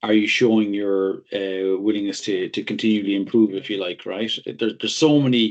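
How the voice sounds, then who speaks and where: A man speaks with a strong Irish accent and a fairly low pitch. The background is quiet. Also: fairly even intonation, moderate pace. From Ireland. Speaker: technology consultant. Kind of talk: interview. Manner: halting, many repeated words.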